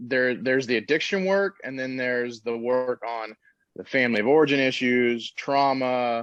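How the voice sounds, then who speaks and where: An ordinary speaking voice from a man with an American accent, medium in pitch with ordinary pitch variation, at a moderate pace against a quiet background. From Texas, Dallas. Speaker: treatment center owner, recovering addict. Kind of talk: podcast interview.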